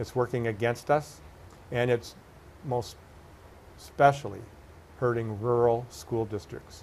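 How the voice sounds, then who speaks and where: Fairly even intonation at a fairly slow pace, broken by long, frequent pauses. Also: man, medium pitch for a man. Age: 60s. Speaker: political candidate. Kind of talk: interview.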